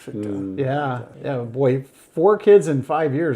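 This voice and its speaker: Lively intonation marks this man's speech, with a dark, mellow tone at a fairly high pitch. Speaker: podcast co-host. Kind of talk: podcast interview, casual talk.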